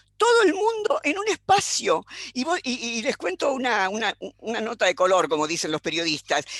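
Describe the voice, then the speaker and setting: In a Rioplatense accent, a woman speaks at a moderate pace with a high pitch and very wide pitch swings. The sound is dry and close, with no echo. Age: 80s+. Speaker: philosopher. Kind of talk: panel discussion. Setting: video call.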